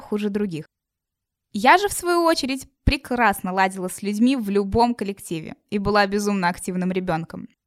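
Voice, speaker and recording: A woman with a plain, everyday voice uses lively intonation. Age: 20s. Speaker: university student, podcast presenter. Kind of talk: scripted narration.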